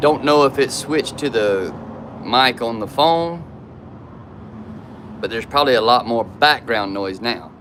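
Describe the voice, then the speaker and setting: Pausing long and often, a man with a Southern US accent talks at a fairly slow pace, his medium pitch varying in an ordinary way. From South Georgia / North Florida. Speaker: YouTuber. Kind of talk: casual live stream chat. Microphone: camera built-in mic.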